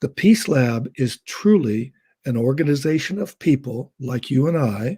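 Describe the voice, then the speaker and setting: The sound is dry and close with no echo, carrying a man's medium-pitched voice with a dark, mellow tone. He is somewhat breathy, speaking at a fairly slow pace with lively intonation. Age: 70s. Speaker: educator. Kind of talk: casual chat.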